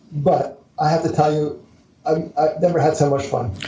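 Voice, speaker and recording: Speaking fairly slowly with an American accent, a man is heard with audible room echo. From US Northeast, Philadelphia area. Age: 70s. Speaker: entrepreneur and author. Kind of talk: interview. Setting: podcast interview.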